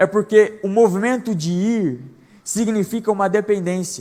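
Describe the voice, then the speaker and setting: A man with a high-pitched voice. His pitch rises and falls in an ordinary way. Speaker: preacher. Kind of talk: sermon. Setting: church service. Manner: fast.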